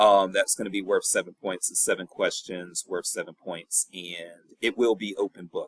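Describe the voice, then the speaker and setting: Speaking at a moderate pace with a strong Southern US accent, a man sounds dry and close, with no echo. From US South, North Carolina and Virginia. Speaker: professor. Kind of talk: recorded lecture. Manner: casual.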